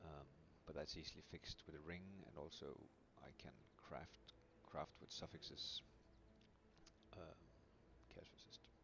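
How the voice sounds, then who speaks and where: Quiet and fairly slow, a man talks with a very deep, low pitch and vocal fry. His pitch variation is ordinary. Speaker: video game streamer. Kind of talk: game build guide commentary. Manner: quiet, mellow.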